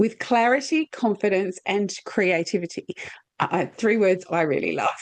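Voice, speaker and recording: Speaking at a fairly slow pace, a woman uses lively intonation. She talks in an Australian accent. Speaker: podcast host. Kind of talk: casual interview chat.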